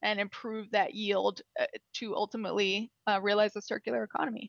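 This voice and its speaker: In an American accent, a woman with an ordinary speaking voice and medium pitch speaks at a moderate pace, the sound dry and close with no echo against a quiet background. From US Midwest, Illinois. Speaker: sustainability manager in the chemical industry. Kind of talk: interview.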